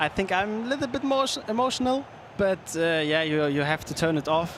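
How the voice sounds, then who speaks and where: Amid noticeable background noise and audible room echo, a man with a German accent speaks at a fairly quick pace. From Germany, Hamburg. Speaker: esports pro player. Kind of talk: interview. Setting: stage. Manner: halting.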